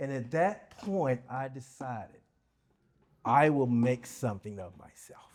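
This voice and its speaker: In a very clean recording with a silent background, a man speaks with an American accent. His pitch is fairly high and his tone is dark and mellow. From US South. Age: 60s. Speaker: keynote speaker, nonprofit founder. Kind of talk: keynote speech. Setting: luncheon with audience.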